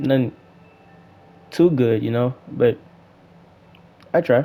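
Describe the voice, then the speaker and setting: A man at medium pitch with ordinary pitch variation, music in the background. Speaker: gaming YouTuber. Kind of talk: casual gameplay commentary. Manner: fast; animated.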